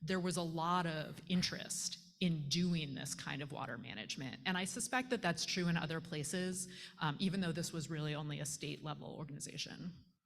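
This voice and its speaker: A somewhat breathy woman's voice, fairly low in pitch, with ordinary pitch variation and a moderate pace. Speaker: panel moderator. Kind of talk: panel discussion.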